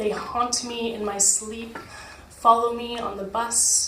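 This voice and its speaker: A woman's fairly high voice in a flat monotone at a fairly slow pace, with noticeable background noise. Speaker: slam poet. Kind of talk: poetry slam performance. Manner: emotional, tearful.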